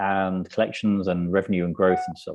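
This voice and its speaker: Fairly quick, flat, monotone speech from a man with a British accent and fairly low pitch. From UK. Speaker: business consultant and CEO. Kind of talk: panel discussion. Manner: hesitant, many fillers.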